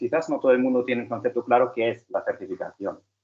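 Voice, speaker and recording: A man with a German accent speaks at a fairly quick pace. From Germany. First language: German (speaking Spanish). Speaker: conference speaker on software certifications. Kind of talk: conference presentation. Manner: halting, with fillers and repetitions.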